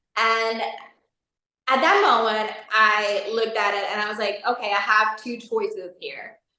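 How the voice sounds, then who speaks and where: Through audible room echo, a woman speaks fairly slowly in a fairly high pitch, with a bright, sharp tone and monotone, flat intonation. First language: not English. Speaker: life coaching facilitator. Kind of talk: interview.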